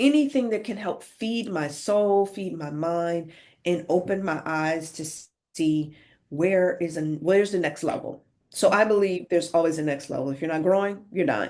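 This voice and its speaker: A woman has an unremarkable speaking voice, fairly low in pitch, at a moderate pace. Her intonation is lively against a quiet background. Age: 50s. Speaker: author and coach. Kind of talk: interview conversation.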